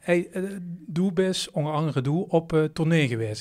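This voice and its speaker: An unremarkable speaking voice from a man, fairly high in pitch with lively intonation, at a fairly slow pace, in a very clean recording with a silent background. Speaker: podcast host. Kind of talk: podcast interview.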